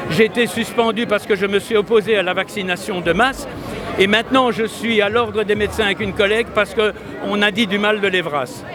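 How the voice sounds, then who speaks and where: A man talks at a fairly quick pace with a high pitch and fairly even intonation. Noticeable background noise runs underneath. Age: 70s. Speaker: politician and doctor. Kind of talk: interview. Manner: hesitant, repeats words.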